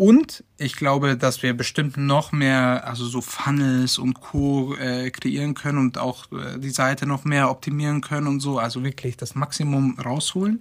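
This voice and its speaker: Against noticeable background noise, a man with a fairly high pitch speaks at a fairly slow pace with hardly any pauses. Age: 20s. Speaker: web and tech team member. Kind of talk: casual interview.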